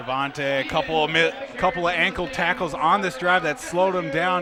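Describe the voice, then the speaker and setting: A man speaks fairly quickly with ordinary pitch variation while noticeable background noise runs underneath. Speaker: color commentator. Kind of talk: football color commentary, analysing plays.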